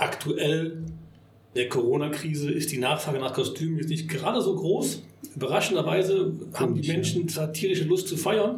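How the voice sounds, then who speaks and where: Amid noticeable background noise and audible room echo, a man with a fairly high pitch talks at a moderate pace with ordinary pitch variation. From Bonn, Rhineland, Germany. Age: 50s. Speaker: party venue owner. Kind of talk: casual interview. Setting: party hall venue.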